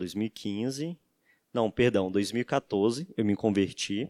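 A man speaks very slowly in a dry, close recording with no echo, very clean and with a silent background. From Bahia, Brazil. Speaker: data engineer. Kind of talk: casual chat.

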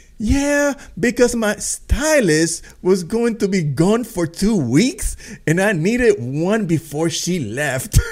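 A man's put-on character voice, high-pitched and whiny, with a whiny tone and a fairly slow pace. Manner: whiny, bitchy, mocking.

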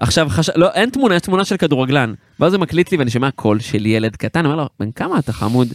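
Very wide pitch swings mark a man's fairly high voice at a very fast pace. The sound is dry and close, with no echo. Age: 30s. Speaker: podcast host and musician. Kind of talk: casual chat.

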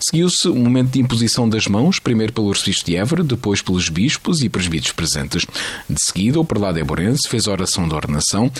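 A man with a European Portuguese accent talks very fast at a fairly low pitch, his voice swinging very widely while its loudness stays very even. Noticeable background noise runs behind him. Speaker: radio news presenter. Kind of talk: news reading. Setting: studio.

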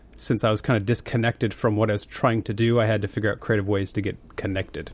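An American accent comes from a man talking at a very fast pace. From Montana, US (Billings area). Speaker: musician and tech founder. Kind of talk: casual chat.

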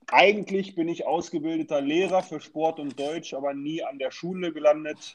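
Using an ordinary speaking voice, this man moves at a moderate speed, his pitch shifting in an ordinary way. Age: 30s. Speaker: youth football coordinator. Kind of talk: casual interview.

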